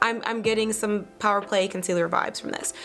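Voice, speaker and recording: A woman's fairly high voice at a very fast pace with music in the background. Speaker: beauty vlogger. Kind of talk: makeup review and tutorial. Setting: home studio with green screen. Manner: casual, filler-heavy.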